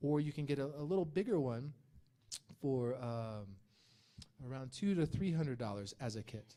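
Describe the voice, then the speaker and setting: A man's fairly high, dark and mellow voice with lively intonation and an American accent. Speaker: animator and magazine creator. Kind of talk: talk with audience Q&A. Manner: fast.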